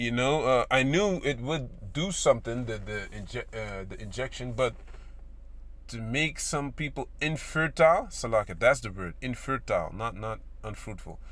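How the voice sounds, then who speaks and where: Talking at a moderate pace, a man's loudness swings widely up and down. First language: not English. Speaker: religious video commentator. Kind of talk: religious commentary monologue. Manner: halting, many fillers and repetitions; casual.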